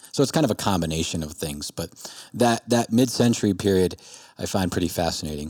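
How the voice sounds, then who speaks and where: A man speaks at a moderate pace with lively intonation, in an ordinary speaking voice. The sound is dry and close, with no echo. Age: 30s. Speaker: returning podcast guest. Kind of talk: casual chat. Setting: video call.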